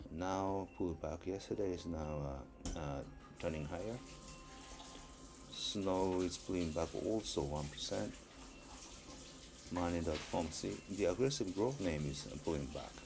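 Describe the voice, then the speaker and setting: In a room with audible echo, a man with a very deep, low pitch talks at a fairly slow pace with long, frequent pauses. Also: ordinary pitch variation. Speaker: stock market commentator. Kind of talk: market review screen walkthrough. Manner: halting, many fillers.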